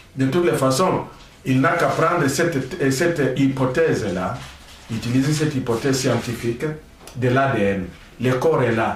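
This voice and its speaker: Recorded with audible room echo and noticeable background noise, a man speaks at medium pitch with ordinary pitch variation and very even loudness. His pace is moderate, broken by long, frequent pauses. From DR Congo, Maniema. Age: 60s. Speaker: political commentator, engineer. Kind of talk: political talk show interview.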